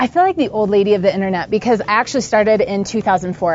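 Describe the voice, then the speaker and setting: Against noticeable background noise, a woman speaks at a medium pitch and a fairly quick pace. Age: 30s. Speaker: entrepreneur. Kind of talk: interview.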